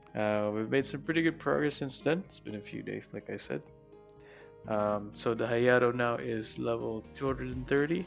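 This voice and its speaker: With music in the background, a man speaks at a moderate pace and fairly low pitch, his pitch swinging very widely. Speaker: gaming video creator. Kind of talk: gameplay voiceover commentary. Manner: casual, hesitant with filler words.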